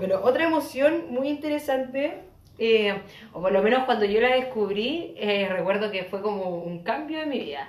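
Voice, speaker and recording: Over noticeable background noise and audible room echo, the speaker uses a Chilean accent at a moderate pace, with very wide pitch swings. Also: woman, fairly high pitch for a woman. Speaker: podcast co-host. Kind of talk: casual chat.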